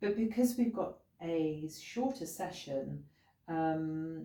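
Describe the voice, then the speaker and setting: Somewhat breathy, a woman speaks at a fairly low pitch with a dark, mellow tone and lively intonation. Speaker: sound healing practitioner. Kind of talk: instructional talk. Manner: hesitant with fillers; gentle.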